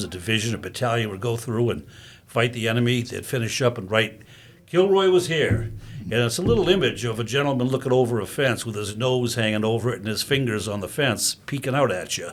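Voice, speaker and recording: A man with a plain, everyday voice talks at a fairly quick pace and medium pitch, with ordinary pitch variation. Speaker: veterans services officer, veteran. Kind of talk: telling a joke.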